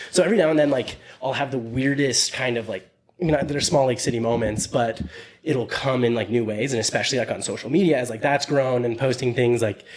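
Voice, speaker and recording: Noticeable background noise sits behind a man who speaks very fast with ordinary pitch variation. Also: medium pitch for a man. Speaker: podcast host. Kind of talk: casual chat. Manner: mumbling.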